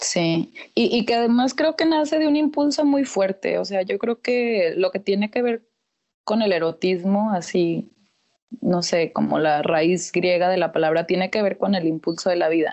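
A woman speaks at a fairly slow pace in a medium pitch, her voice swinging very widely in pitch while her loudness stays very even. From Mexico, Torreón, Coahuila. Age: 20s. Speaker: sociologist. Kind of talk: casual chat.

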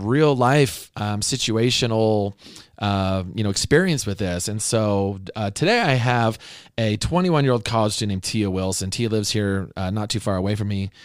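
Over a very clean recording with a silent background, a man with a fairly low pitch speaks in an animated tone at a moderate pace with ordinary pitch variation. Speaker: podcast host and speaker. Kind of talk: interview. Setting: studio.

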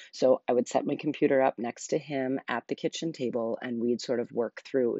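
A woman speaks softly. Her pitch is very deep and low. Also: hardly any pauses. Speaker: podcast host. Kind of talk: solo podcast monologue, casual chat. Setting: home living room, early morning. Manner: slow; quiet, soft-spoken.

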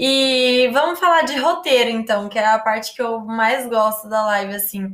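Here a woman has an ordinary speaking voice, fairly high in pitch. She talks at a fairly slow pace with ordinary pitch variation. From Brazil, Paraná (Londrina). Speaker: travel influencer, live host. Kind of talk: casual interview.

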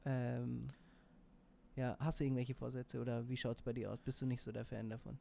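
This man talks at a fairly quick pace. His speech has long, frequent pauses. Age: 20s. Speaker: podcast co-host. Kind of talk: casual chat. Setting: studio. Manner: hesitant, many fillers.

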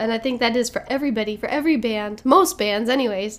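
With ordinary pitch variation, an unremarkable speaking voice delivers its words at a fairly quick pace. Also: woman. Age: 20s. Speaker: podcast host and musician. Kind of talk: casual solo monologue.

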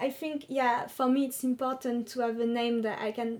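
Her dark, mellow tone carries a fairly high pitch as this woman speaks. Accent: French. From France. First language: French. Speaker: secondary school teacher. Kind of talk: interview.

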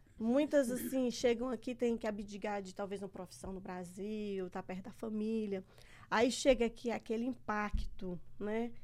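With a plain, everyday voice, a woman speaks at a fairly slow pace in a fairly high pitch, keeping fairly even intonation despite big swings in loudness. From Brazil. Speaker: podcast host. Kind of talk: casual chat. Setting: studio.

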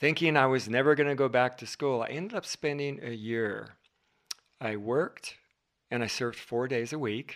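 A man with an American accent has a plain, everyday voice, medium pitch, ordinary pitch variation and a moderate pace. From Southern California. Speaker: marriage and family therapist. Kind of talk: casual interview conversation.

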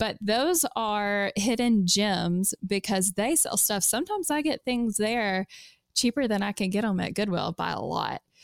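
A woman with a Kentucky accent talks at a fairly slow pace, her medium-pitched voice showing lively intonation in a dry, close sound with no echo. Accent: Southern US (Kentucky). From US South, South Central Kentucky. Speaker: secondhand clothing seller. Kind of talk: casual interview.

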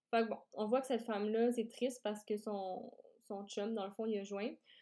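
Woman with a Quebec accent and a dark, mellow tone. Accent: Québécois French. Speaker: podcast host, startup founder. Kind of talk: solo podcast talk.

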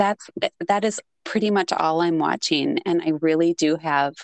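A woman with a strong Minnesotan accent speaks low and fairly slowly, with vocal fry and fairly even intonation, in a dry, close sound with no echo. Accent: thick Minnesotan.

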